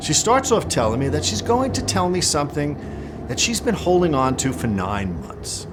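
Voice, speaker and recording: A man speaks with an American accent and very wide pitch swings. Noticeable background noise can be heard. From New York City and northern New Jersey. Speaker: testimony speaker. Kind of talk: testimony.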